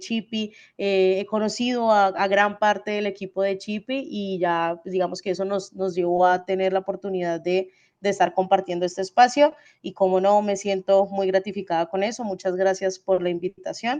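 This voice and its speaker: A woman's medium-pitched voice with fairly even intonation against a quiet background. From Colombia, Cali. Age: 20s. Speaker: e-commerce logistics expert. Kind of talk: webinar talk. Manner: fast; halting, many fillers.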